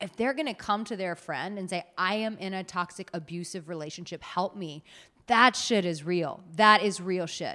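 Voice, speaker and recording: Recorded very cleanly with a silent background, a woman speaks at a moderate pace in a medium pitch, her bright, sharp tone animated and her pitch varying in an ordinary way. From United States. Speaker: dating and relationship coach. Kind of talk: casual interview.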